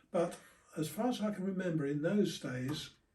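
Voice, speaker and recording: A man's high-pitched voice in a southern English accent, dark and mellow in tone, with ordinary pitch variation at a moderate pace. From southern England. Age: 80s+. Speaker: war veteran. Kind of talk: interview.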